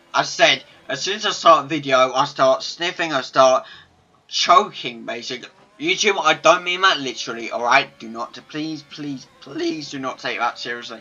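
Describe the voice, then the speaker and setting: A man's fairly high-pitched voice at a moderate pace, with ordinary pitch variation and big swings in loudness, over music in the background. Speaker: sim racing league commentator. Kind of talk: live commentary. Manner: animated.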